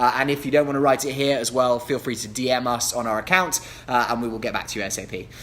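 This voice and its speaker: A man's medium-pitched voice in a London accent, at a very fast pace with ordinary pitch variation and noticeable background noise. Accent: southern English, London. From England. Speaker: real estate agent. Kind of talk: live Q&A stream. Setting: livestream.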